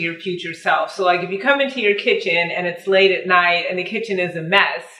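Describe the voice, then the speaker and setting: Her medium-pitched voice carries audible room echo as a woman speaks. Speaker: lifestyle vlogger. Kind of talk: casual vlog talk to camera with cooking.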